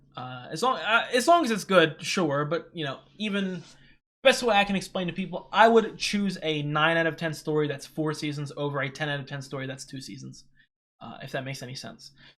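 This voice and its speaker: Fairly quick and high-pitched, a man speaks with lively intonation. His loudness swings widely. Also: very clean recording, silent background. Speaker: anime reaction youtuber. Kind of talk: solo reaction commentary. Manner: halting, many fillers and repeats; fast.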